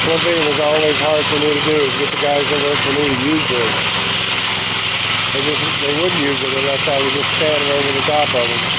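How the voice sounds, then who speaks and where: Loud background noise sits behind speech at a fairly quick pace. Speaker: vlogger filming his workers. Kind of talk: casual vlog chat. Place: street. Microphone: phone near.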